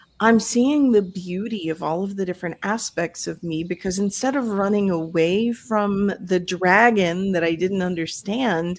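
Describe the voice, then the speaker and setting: With an American accent, a woman with an unremarkable speaking voice at medium pitch talks at a moderate pace, with ordinary pitch variation and hardly any pauses. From Florida. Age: 50s. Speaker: life coach and podcaster. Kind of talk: podcast interview.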